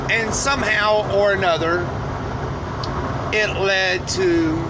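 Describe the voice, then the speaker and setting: Loud background noise behind a man speaking. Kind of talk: casual vlog chat about faith. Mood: earnest, preachy. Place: car. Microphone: phone near.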